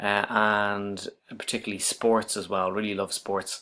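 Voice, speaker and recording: This man has a fairly low pitch and a slight Irish accent. His intonation is monotone and flat. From Ireland, Dublin. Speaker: university writing lecturer. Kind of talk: self-introduction video. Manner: hesitant, many fillers.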